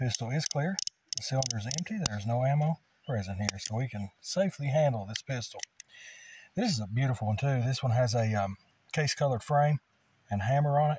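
A man's somewhat breathy voice with a dark, mellow tone, lively intonation and a fairly quick pace, dry with no echo, over light background noise. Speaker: firearm reviewer. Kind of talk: casual product review commentary. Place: open country. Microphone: phone near.

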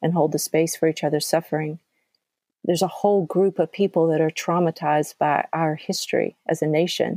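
This woman has an American accent, a fairly low pitch and a dark, mellow tone. Her intonation is monotone and flat, and the sound is dry and close with no echo. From US South, central Georgia. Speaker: podcast host. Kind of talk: casual chat.

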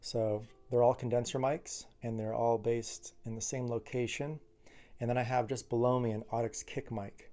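A man speaks at a moderate pace with a flat, monotone delivery. Faint music plays in the background. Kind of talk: tutorial. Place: studio. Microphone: studio mic.

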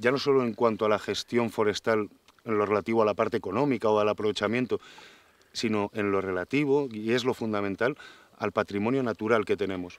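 At a fairly quick pace, a normal speaking voice comes through with fairly even intonation and a dry sound with no echo. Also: man. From Spain. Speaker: forest engineer and nature promoter; interviewee. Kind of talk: interview. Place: forest. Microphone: lapel.

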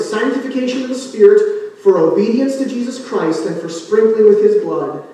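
A man talks at a fairly quick pace. There is strong room echo. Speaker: pastor. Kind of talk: sermon. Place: church.

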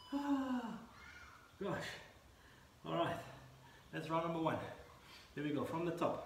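A man with a high voice speaks at a fairly slow pace with long, frequent pauses, audible room echo and light background noise. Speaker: fitness instructor. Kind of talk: workout instruction. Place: garden. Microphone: camera far.

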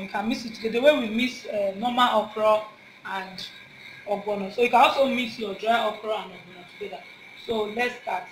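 Light background noise and audible room echo surround fairly quick speech. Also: woman. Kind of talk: cooking tutorial. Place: kitchen.

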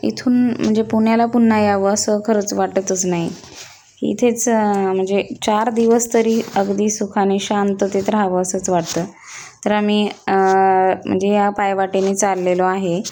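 A woman speaks in a medium pitch with a dark, mellow tone, her intonation flat and monotone and her loudness very even. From Maharashtra, rural Pune district. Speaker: village vlogger. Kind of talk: travel vlog narration.

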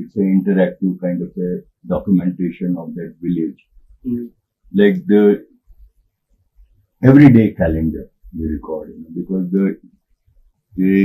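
With a very deep, low pitch and a dark, mellow tone, a man speaks at a moderate pace with ordinary pitch variation and long, frequent pauses. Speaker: guest. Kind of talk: interview answer. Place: studio. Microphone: lapel.

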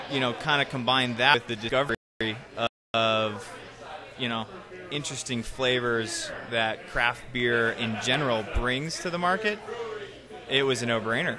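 Against noticeable background noise, a man speaks at a moderate pace with ordinary pitch variation and long, frequent pauses, the sound dry with no echo. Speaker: guest. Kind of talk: interview answer. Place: bar. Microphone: studio mic.

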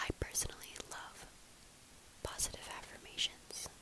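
A woman's gentle whisper at a fairly slow pace. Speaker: ASMR content creator. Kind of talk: whispered positive affirmations video. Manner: gentle, soft whisper. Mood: calm, kind, reassuring. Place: home room. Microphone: earbuds.

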